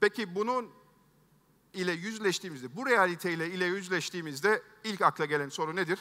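Speaking at a fairly quick pace, a man has a high pitch with ordinary pitch variation. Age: 50s. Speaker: tech entrepreneur, keynote speaker; keynote speaker. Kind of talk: keynote speech. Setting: stage with audience. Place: stage. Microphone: headset.

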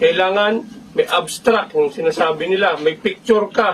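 A man's high-pitched voice at a fairly slow pace over noticeable background noise. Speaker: fraternity officer addressing members. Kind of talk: speech to a chapter gathering.

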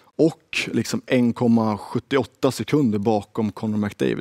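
Dark, mellow male tones set against a quiet background. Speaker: game show host for women's hockey league. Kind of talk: game show style interview. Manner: animated. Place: studio.

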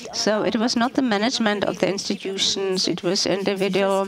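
A woman talks with ordinary pitch variation over noticeable background noise. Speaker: conference speaker. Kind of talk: formal speech. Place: hall. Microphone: podium.

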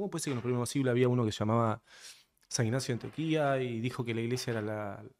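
A man's voice at a medium pitch. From Argentina. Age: 30s. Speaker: podcast guest. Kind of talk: casual interview conversation. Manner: direct. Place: studio. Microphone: studio mic.

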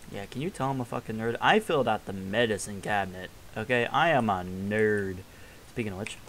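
Light background noise sits under speech that moves fairly quickly. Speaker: gamer. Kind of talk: casual gameplay commentary.

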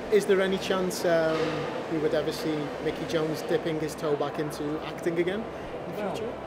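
A man talks at a fairly quick pace despite loud background noise. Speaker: show host and actor. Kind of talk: casual interview chat. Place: cafe.

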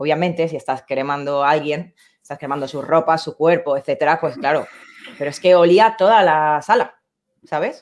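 A woman with a very deep, low pitch at a fairly quick pace, over a quiet background. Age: 30s. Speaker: video editor and camera operator; interview guest. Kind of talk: interview. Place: home room. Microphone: video call.

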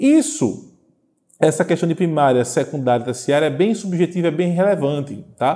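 A man speaks with a dark, mellow tone and lively intonation, his loudness very even against a quiet background. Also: moderate pace. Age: 30s. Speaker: teacher. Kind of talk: video lecture; lecture. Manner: hesitant, many fillers. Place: classroom. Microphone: lapel.

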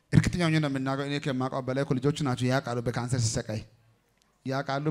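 Against a quiet background, a man talks at a medium pitch. His tone is animated. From Ethiopia. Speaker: pastor; preacher. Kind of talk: church service testimony session. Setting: church with congregation. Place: tent. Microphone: handheld.

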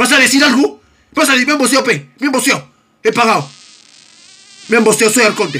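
A man in a raised, projected voice talks at a very fast pace with an extremely high pitch, lively intonation, very even loudness, and long, frequent pauses. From Peru. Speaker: gaming streamer. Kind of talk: casual chat. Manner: animated. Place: home room.

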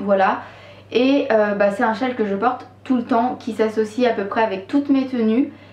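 In a room with audible echo, a woman talks at a fairly slow pace with fairly even intonation. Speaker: knitting vlogger. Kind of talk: casual vlog chat. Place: home room.

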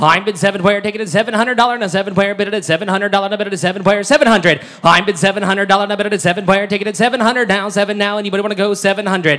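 Loud and animated, a man speaks at a high pitch against a quiet background. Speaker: auctioneer. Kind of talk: auction patter. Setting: stage with audience. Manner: fast talker; loud, animated. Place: hall. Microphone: pa.

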